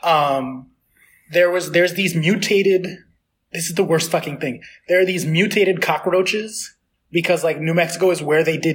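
Speaking at a moderate pace with a New York accent, a man has a high-pitched voice and ordinary pitch variation. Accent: New York American. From New York City. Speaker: podcast host. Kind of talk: casual chat.

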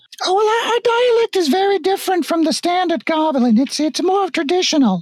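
Putting on a character voice, a man talks at a fairly quick pace in an extremely high, squeaky pitch. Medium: actual play. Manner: fussy, old-fashioned.

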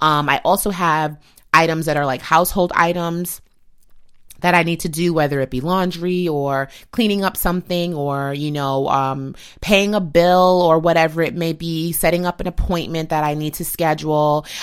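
A woman's unremarkable speaking voice, fairly low in pitch, with fairly even intonation at a moderate pace on a very clean recording with a silent background. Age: 30s. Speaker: podcast host and beauty editor. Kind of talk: solo lifestyle podcast monologue. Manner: casual, conversational.

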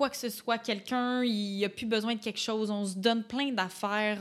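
Moderate pace and fairly even intonation from a woman of medium pitch with a Quebec accent. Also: very clean recording, silent background. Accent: Québécois French. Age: 20s. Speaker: podcast guest. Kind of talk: casual chat.

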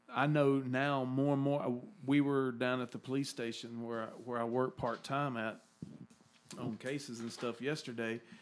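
Against music in the background, a man with a Southern US accent speaks at a moderate pace in a medium pitch with monotone, flat intonation. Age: 50s. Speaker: podcast host. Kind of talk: casual chat. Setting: studio.

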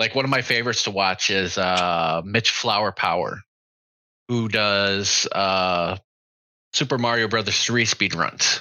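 A man with an ordinary speaking voice speaks at a fairly low pitch and a fairly slow pace. His pitch variation is ordinary and his loudness very even. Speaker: army veteran. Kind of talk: casual chat.

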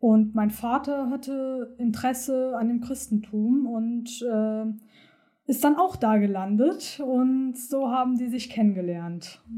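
With a dark, mellow tone, a woman speaks very slowly at a high pitch with ordinary pitch variation. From Hamburg, northern Germany, partly raised in Turkey. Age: 20s. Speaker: medical assistant. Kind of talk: personal testimony interview.

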